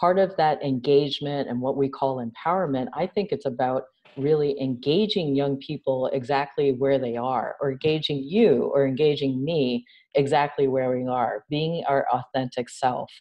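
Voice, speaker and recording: Over a quiet background, a woman with an American accent speaks at a moderate pace in a very deep, low pitch with ordinary pitch variation. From New York. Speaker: nonprofit founder and CEO. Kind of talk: interview conversation. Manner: animated. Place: home room.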